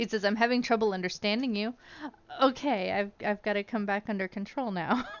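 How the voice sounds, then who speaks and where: Over noticeable background noise, a woman with an American accent talks at a fairly quick pace, her medium pitch and intonation fairly even. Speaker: streamer. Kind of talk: casual chat.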